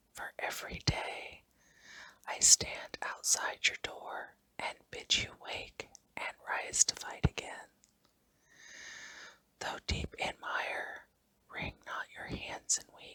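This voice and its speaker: A woman whispers at a very slow pace, leaving long, frequent pauses. Her loudness swings widely. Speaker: ASMR hypnosis creator. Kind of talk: whispered hypnosis for relaxation. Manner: whispered, soft, slow.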